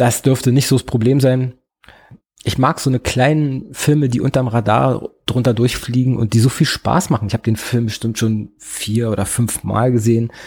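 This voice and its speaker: His voice somewhat breathy, a man talks with fairly even intonation. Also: medium pitch for a man, moderate pace. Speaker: podcast host. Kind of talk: solo film review. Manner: hesitant, filler-heavy.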